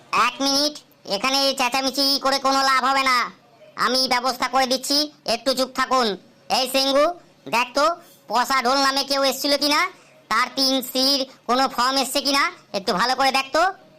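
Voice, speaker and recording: A woman does a cartoonish character voice, pitched high, with fairly even intonation at a moderate pace. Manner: smug, condescending.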